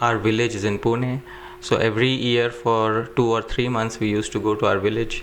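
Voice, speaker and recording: With noticeable background noise behind him, a man at a medium pitch speaks in a monotone, flat intonation at a moderate pace. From India, Jaipur. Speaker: Sanskrit scholar. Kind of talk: interview.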